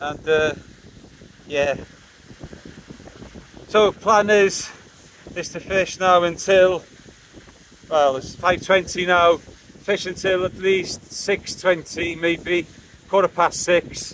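A man talks slowly in a high pitch with a fairly bright tone and fairly even intonation. Long pauses come often.

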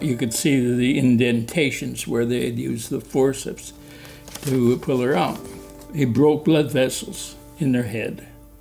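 A man with a Midwestern American accent speaks at a fairly slow pace with ordinary pitch variation, faint music in the background. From South Bend, Indiana. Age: 80s+. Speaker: alumnus, former congressional candidate. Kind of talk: interview answer. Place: home room.

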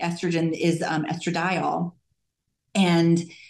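Her words come out at a very slow pace as the woman talks. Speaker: physician in anti-aging medicine; conference presenter. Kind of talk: interview. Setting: remote call. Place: hall. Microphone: camera far.

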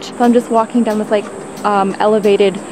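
A woman's voice over noticeable background noise. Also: dry sound with no echo. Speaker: travel vlogger. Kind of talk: casual vlog chat. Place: forest. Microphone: phone near.

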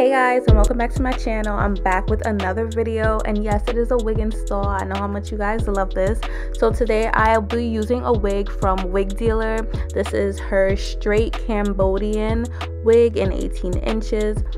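Clear music plays behind a woman's voice. She talks at a moderate pace. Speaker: beauty vlogger. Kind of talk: casual talk to camera. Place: home room. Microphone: camera far.

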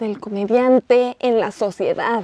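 Very slow and fairly even in intonation, the speaker has a dark, mellow tone and talks with a Mexican accent. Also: woman, dry sound with no echo. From Mexico. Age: 20s. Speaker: interviewer. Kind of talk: casual interview. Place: studio.

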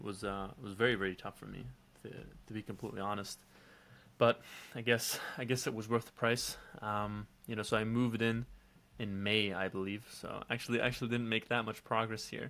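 A man talks at a fairly quick pace with a fairly low pitch and a bright, sharp tone, his intonation monotone and flat. His loudness swings widely, and he leaves long, frequent pauses. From Belgium. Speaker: online entrepreneur. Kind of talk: casual vlog monologue. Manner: casual, with many fillers.

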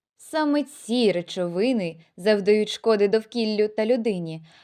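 Fairly high-pitched woman's voice with a dark, mellow tone and ordinary pitch variation over a quiet background. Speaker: medical college student. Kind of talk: student presentation narration. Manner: formal.

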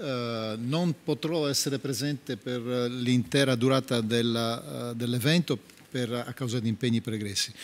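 A man speaks at a medium pitch with ordinary pitch variation. He has a plain, everyday voice. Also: fairly slow pace. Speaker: politician. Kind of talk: panel speech. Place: hall. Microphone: podium.

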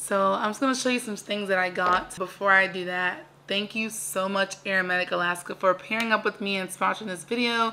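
A woman's fairly quick, fairly evenly intoned speech over light background noise. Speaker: vlogger. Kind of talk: casual vlog chat. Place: home room. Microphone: phone near.

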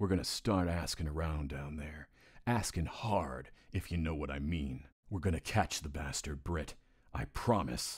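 A man with a very deep, low pitch speaks at a moderate pace with ordinary pitch variation, in a very clean recording with a silent background. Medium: voice reel. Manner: folksy, politician's confidence.

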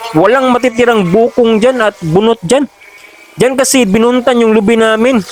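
A man at an extremely high pitch, with fairly even intonation and a moderate pace, in a dry, close sound with no echo and noticeable background noise. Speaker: farm vlogger. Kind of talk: voice-over narration. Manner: halting.

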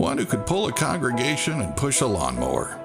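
A man speaking at a fairly slow pace over clear music in the background. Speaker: voice actor. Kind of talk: inspirational church tribute narration.

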